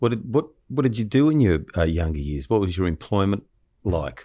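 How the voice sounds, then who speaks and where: At a moderate pace, a man with an Australian accent speaks in a very deep, low pitch with a dark, mellow tone and very wide pitch swings. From Australia, Shellharbour NSW. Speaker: criminal lawyer and podcast host. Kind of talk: casual chat. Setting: stage with audience.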